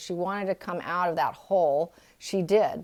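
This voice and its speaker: A woman speaks with a Californian accent at a fairly low pitch. The recording is very clean, with a silent background. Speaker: tarot reader. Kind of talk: tarot reading. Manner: halting, with many fillers.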